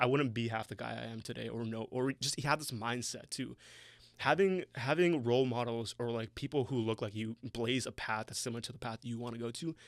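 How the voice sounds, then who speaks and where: In a Toronto accent, a man speaks at a fairly quick pace with medium pitch and ordinary pitch variation. The recording is very clean, with a silent background. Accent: Canadian English (Toronto). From Toronto, Canada. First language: Bengali. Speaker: marketing entrepreneur. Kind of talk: casual chat.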